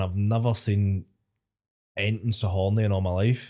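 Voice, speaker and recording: In a Scottish accent, the voice comes across dark and mellow with monotone, flat intonation on a very clean recording with a silent background. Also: man. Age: 20s. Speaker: stand-up comedian. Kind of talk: casual chat.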